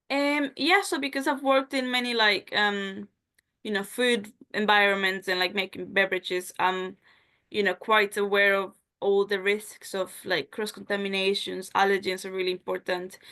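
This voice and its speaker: At a moderate pace, a woman with a Spanish accent speaks at medium pitch with ordinary pitch variation. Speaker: job interview candidate. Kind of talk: job interview (role-play). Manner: casual, filler-heavy.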